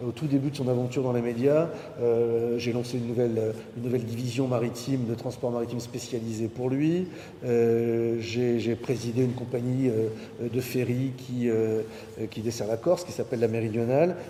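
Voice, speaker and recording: A man at a medium pitch and moderate pace, fairly even in intonation, with audible room echo and noticeable background noise. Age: 60s. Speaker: maritime entrepreneur. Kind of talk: conference talk. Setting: university lecture hall with audience. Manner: hesitant, many fillers.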